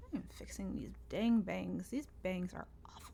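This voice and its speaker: This woman talks at a moderate pace with an American accent. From US South, Northeast Tennessee (Appalachia). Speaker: podcast host, songwriter and producer. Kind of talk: casual unscripted monologue. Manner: casual, with many fillers.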